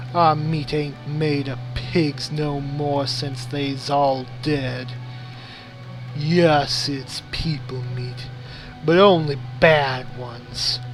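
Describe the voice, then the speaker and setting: Doing a put-on character voice, a man speaks very slowly at a medium pitch, with clear background noise behind him. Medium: solo performance. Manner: drawling.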